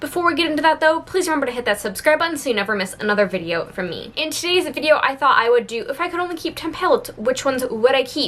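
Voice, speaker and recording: A woman talks at a very fast pace with a high pitch, very wide pitch swings and hardly any pauses. Noticeable background noise runs under her voice. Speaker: beauty youtuber. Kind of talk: casual product review vlog.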